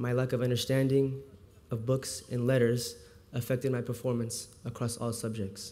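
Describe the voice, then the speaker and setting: A man speaks at a moderate pace and a medium pitch in a monotone, flat intonation. Noticeable background noise and an audible room echo surround him. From US, childhood partly in Houston, Texas. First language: Farsi. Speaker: volunteer literacy tutor. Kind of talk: speech. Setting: stage with audience.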